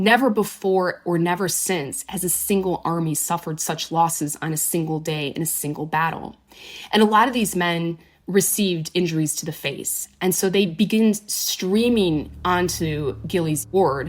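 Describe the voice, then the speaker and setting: Here is a woman with a normal speaking voice and a fairly low pitch. She keeps a moderate pace with ordinary pitch variation. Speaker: historian and presenter. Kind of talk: history podcast commentary.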